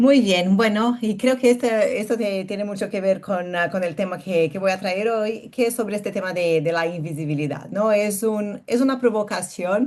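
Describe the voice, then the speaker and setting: This woman speaks with a Brazilian accent at a medium pitch, with ordinary pitch variation. She leaves hardly any pauses. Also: moderate pace. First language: Portuguese (speaking Spanish). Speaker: speaker. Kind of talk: webinar talk. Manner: halting.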